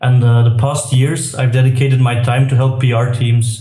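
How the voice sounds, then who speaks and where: A man with a Belgian accent, medium pitch, monotone flat intonation, moderate pace, and audible room echo. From Belgium. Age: 30s. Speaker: tech entrepreneur. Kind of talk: interview. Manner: hesitant, many fillers.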